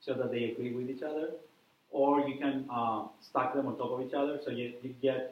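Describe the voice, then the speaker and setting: Audible room echo surrounds a man speaking at a fairly quick pace and a medium pitch. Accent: non-native. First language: not English. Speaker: university lecturer, researcher. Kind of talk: lecture. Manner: hesitant, many fillers.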